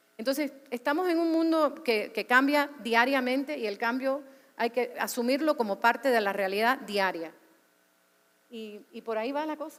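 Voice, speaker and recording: This woman has a high pitch and a Cuban accent. Her tone is animated, with ordinary pitch variation at a moderate pace. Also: big swings in loudness. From US, Cuban American. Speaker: media executive. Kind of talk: panel discussion. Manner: animated, with repetitions.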